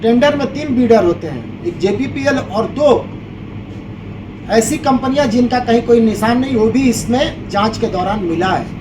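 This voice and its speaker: A man speaks at an extremely high pitch with ordinary pitch variation. The recording carries noticeable background noise and audible room echo. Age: 60s. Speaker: complainant in police case. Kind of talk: press conference statement. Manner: animated.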